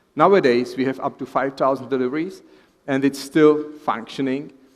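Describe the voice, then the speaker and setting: A man with a Czech accent, medium pitch, fairly even intonation and a moderate pace. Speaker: professor of fetal medicine. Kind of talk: lecture.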